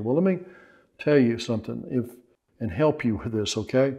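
Against a quiet background, a man with a dark, mellow tone speaks at a moderate pace. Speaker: pastor and Bible teacher. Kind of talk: sermon-style teaching to camera. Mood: earnest, warm. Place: home room. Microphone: lapel.

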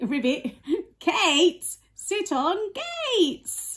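Here a woman performs a put-on character voice. She pitches it high. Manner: playful, silly.

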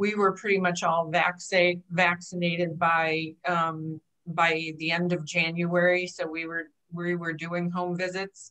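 A woman speaks at a fairly slow pace in a fairly low, bright and sharp voice with monotone, flat intonation against a quiet background. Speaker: aging life care manager. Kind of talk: panel discussion. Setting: video call. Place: office. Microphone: video call.

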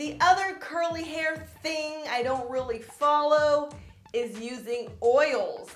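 A woman's high voice at a very slow pace, with audible room echo and faint music in the background. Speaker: beauty vlogger. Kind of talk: casual vlog chat.

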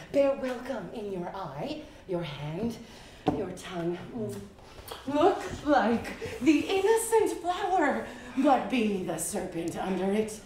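Amid noticeable background noise and audible room echo, a woman speaks at a very slow pace with big swings in loudness. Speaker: stage actor. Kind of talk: theatrical verse performance. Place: stage.

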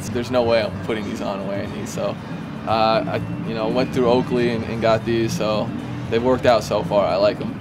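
A man with an American accent talks at a fairly quick pace over loud background noise. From Vermont. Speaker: baseball player. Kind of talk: interview answer. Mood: relaxed, amused. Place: stadium.

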